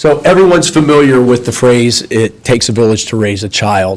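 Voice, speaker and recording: A man with a medium pitch and lively intonation at a moderate pace, over noticeable background noise. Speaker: architect presenting to school board. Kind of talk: formal presentation. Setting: school board meeting, microphone.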